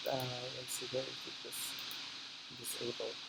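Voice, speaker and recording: Rather fast talking amid clearly audible background noise. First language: not English. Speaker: software tutorial maker. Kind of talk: tutorial. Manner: halting, many fillers.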